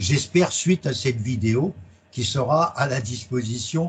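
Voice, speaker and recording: A man's voice at a medium pitch. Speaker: accounting exam trainer. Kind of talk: presentation. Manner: loud.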